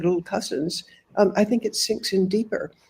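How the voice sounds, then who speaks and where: A woman's medium-pitched, somewhat breathy voice with a dark, mellow tone and ordinary pitch variation. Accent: American. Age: 80s+. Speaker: author and humanitarian reporter. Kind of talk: interview.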